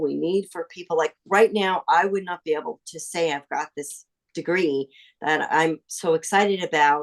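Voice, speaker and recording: A woman's fairly low-pitched, an unremarkable speaking voice, with ordinary pitch variation, a moderate pace, and a dry, close sound free of echo. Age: 60s. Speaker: seminary graduate. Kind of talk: interview.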